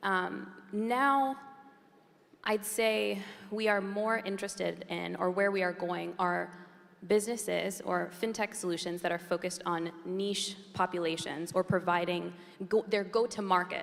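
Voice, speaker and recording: A woman with a strong American accent, medium in pitch, with fairly even intonation. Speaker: venture capital investor. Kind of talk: panel discussion.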